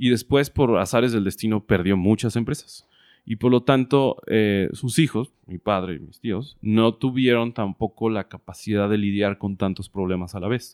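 A man with a Mexican accent speaks at a fairly low pitch, recorded with a dry, close sound and no echo. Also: ordinary pitch variation, moderate pace, very clean recording, silent background. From Mexico, Guadalajara, Jalisco. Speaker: entrepreneur. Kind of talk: interview.

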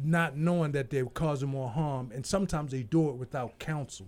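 On a very clean recording with a silent background, a man talks at a moderate pace. His voice is dark, mellow and somewhat breathy. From Baltimore, US. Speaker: election candidate. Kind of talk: casual chat.

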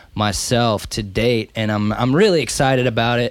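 A man with an ordinary speaking voice and medium pitch talks at a moderate pace with fairly even intonation, in a very clean recording with a silent background. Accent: American. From North Carolina. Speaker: recording engineer. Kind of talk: casual chat. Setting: studio.

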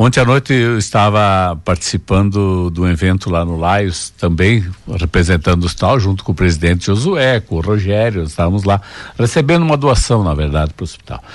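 This man's very deep, low voice moves at a fairly quick pace with lively intonation. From Água Santa, Rio Grande do Sul, southern Brazil. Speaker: business owner. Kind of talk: radio interview.

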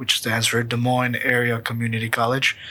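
A man speaks at a medium pitch with an American accent. Background noise is noticeable. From US Midwest, Ankeny, Iowa. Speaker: podcast co-host, real estate agent. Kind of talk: casual chat.

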